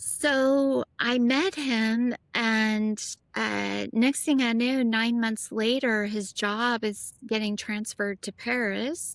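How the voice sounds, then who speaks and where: A woman with an American accent talks at a very slow pace, with hardly any pauses and fairly even intonation. Her pitch is fairly high, and the background is quiet. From US South, Nashville. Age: 50s. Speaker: former international model. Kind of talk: casual interview chat.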